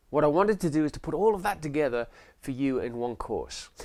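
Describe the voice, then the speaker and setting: This is a man with an English accent. He talks at a fairly quick pace. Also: very clean recording, silent background. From England. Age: 50s. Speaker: sales trainer and realtor. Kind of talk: promotional course introduction.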